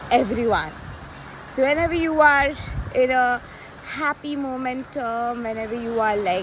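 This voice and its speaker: Noticeable background noise surrounds a woman with a high voice. She talks at a fairly slow pace, and the sound is dry with no echo. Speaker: coach. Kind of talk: casual vlog chat. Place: beach. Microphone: phone near.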